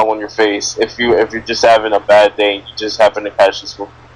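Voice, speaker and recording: Noticeable background noise sits behind a man's voice. He talks at a very fast pace with medium pitch. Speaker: podcast host. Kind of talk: casual chat. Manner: stuttering, halting.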